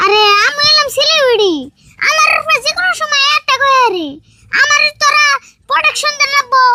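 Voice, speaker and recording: Someone uses a put-on character voice at an extremely high pitch and a moderate pace. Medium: comedy sketch. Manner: boastful, mixing in broken English and Hindi.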